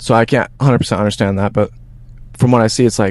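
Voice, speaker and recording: Ordinary pitch variation marks the delivery. The speech runs at a very fast pace. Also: man. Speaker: podcast host. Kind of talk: casual interview. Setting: outdoors.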